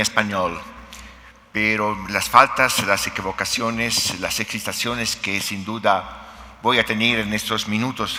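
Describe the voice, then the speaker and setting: Speech moves at a very slow pace over noticeable background noise. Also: man. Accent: Italian. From Italy. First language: Italian (speaking Spanish). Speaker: philosophy professor. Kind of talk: conference talk. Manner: hesitant, with fillers.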